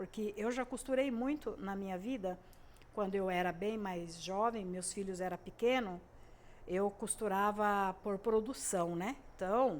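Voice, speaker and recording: The woman's voice sits at a medium pitch. Its rise and fall is ordinary. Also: fairly slow pace. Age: 60s. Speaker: sewing and crafts YouTuber. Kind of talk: casual tutorial monologue. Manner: hesitant, many fillers.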